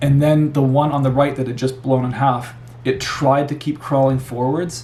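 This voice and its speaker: Amid noticeable background noise and audible room echo, a man with a Canadian accent talks at a moderate pace in a monotone, flat delivery at medium pitch. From Canada. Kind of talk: personal testimony. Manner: casual, repetitive with false starts.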